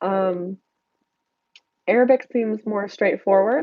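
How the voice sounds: Heard with a fairly even intonation in an American accent, the nasal voice has a dry, close sound with no echo. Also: woman.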